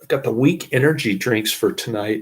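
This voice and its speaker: The voice is somewhat breathy, with ordinary pitch variation. Speech comes at a fairly slow pace. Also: man. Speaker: movie reviewer. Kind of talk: movie review, plot summary. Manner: slurred, stumbling over words.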